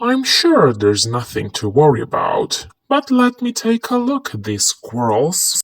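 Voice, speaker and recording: In a put-on character voice, the speaker goes at a moderate pace with hardly any pauses. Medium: read story. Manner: calm, matter-of-fact.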